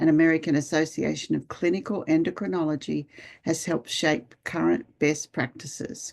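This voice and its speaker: The speaker has an Australian accent, heard against a quiet background. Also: woman. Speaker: nurse and webinar moderator. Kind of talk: webinar introduction. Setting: online webinar.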